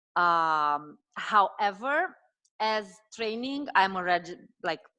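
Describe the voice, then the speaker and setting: Speaking at a very slow pace, a woman with a Romanian accent uses lively intonation and a bright, sharp tone at a medium pitch. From Romania, Transylvania. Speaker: dietitian and health coach. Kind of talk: casual interview conversation.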